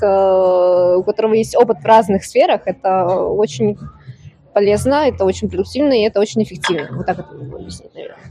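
Lively intonation from a woman at a medium pitch and fairly quick pace, with big swings in loudness and noticeable background noise. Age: 20s. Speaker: bartender. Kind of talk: casual chat.

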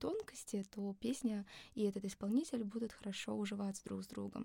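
Somewhat breathy, this woman's voice has a dark, mellow tone. She keeps a moderate pace. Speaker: singer. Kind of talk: casual chat. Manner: soothing.

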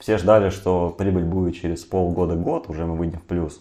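A man speaks with a very deep, low pitch and a dark, mellow tone. His intonation stays fairly even over a quiet background. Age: 20s. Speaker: entrepreneur. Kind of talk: casual interview.

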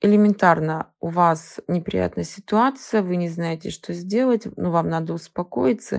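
With a normal speaking voice, a woman speaks at a fairly slow pace in a fairly low pitch. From Siberia, Russia (Novokuznetsk). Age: 30s. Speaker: psychologist. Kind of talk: expert talk.

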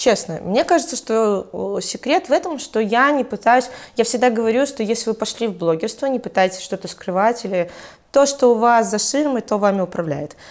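A woman's ordinary speaking voice, fairly high-pitched, with lively intonation at a moderate pace. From Belarus, Mogilev. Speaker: entrepreneur and blogger. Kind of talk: casual interview.

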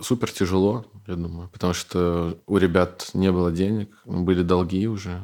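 A man's very deep, low voice in a dark, mellow tone, monotone and flat at a moderate pace, on a very clean recording with a silent background. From Belarus. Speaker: bar owner, entrepreneur. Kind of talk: casual interview chat.

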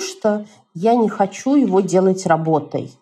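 Somewhat breathy, a woman speaks with lively intonation. Her tone is dark and mellow. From Moscow, Russia. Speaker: journalist and blogger. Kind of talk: interview.

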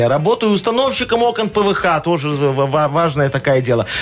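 Over noticeable background noise, a man talks at a fairly quick pace and a high pitch. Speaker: radio host. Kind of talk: radio dj patter. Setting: studio. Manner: animated; bantering.

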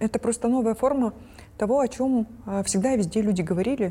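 Somewhat breathy, a woman speaks at a moderate pace with lively intonation and a dark, mellow tone. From Kyrgyzstan. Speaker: researcher. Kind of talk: casual panel discussion.

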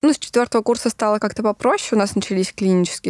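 The recording of this woman's voice has a dry, close sound with no echo. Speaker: surgical resident. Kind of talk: interview.

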